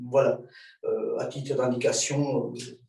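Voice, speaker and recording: There is audible room echo as a man with a fairly high pitch talks at a fairly slow pace. His intonation is monotone and flat. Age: 60s. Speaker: martial arts instructor. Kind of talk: lecture. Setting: video call. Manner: halting, many filler sounds.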